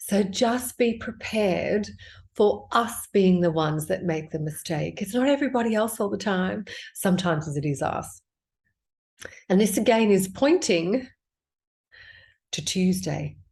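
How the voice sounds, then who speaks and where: Somewhat breathy and at a medium pitch, a woman speaks with lively intonation at a fairly slow pace, leaving long, frequent pauses. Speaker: tarot card reader. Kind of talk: tarot reading. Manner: quiet; casual.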